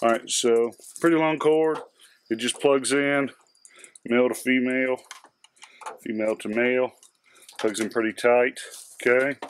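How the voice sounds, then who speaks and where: A man at a moderate pace with long, frequent pauses, fairly even intonation, dry sound with no echo, and light background noise. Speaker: hobbyist reviewer. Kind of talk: tutorial. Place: garage.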